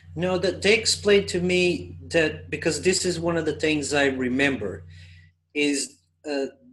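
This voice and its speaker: With a Portuguese accent, a man speaks at a fairly slow pace and a fairly high pitch, using ordinary pitch variation. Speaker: spiritual channeler. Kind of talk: group discussion Q&A. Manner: hesitant, repetitive.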